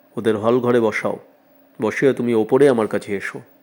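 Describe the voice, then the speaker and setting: A man's booming, stern put-on character voice at medium pitch, with fairly even intonation and a moderate pace. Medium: read story. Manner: stern, commanding.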